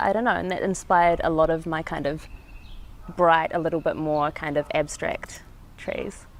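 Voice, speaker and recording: A woman speaks with a New Zealand accent. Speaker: street artist. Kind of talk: interview. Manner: halting.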